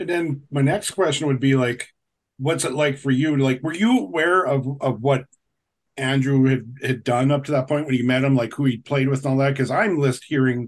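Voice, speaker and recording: At a fairly quick pace, a man speaks in an unremarkable speaking voice with ordinary pitch variation. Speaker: podcast host. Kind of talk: casual chat. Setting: video call. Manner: rambling.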